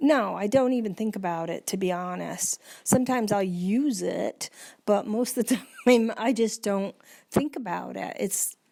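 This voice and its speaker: In a very clean recording with a silent background, the voice has a dark, mellow tone and ordinary pitch variation. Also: woman, fairly high pitch for a woman, moderate pace. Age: 60s. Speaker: person living with Alzheimer's. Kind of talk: casual chat. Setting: at home.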